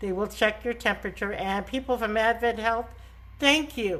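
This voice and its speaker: A woman with a New York accent and ordinary pitch variation. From New York (Bronx, Long Island). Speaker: travel agent. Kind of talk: live stream talk. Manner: casual, chatty.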